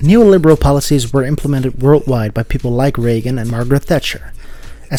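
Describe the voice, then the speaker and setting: A man talks at a very fast pace. His pitch is medium, with ordinary variation. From Netherlands. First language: Dutch. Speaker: video essayist. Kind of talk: video essay narration.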